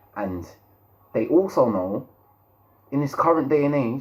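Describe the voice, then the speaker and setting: Speaking with a London accent, this voice moves at a moderate pace with lively intonation. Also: man. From London, England. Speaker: YouTube commentator. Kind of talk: opinion monologue. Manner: halting, repeats words.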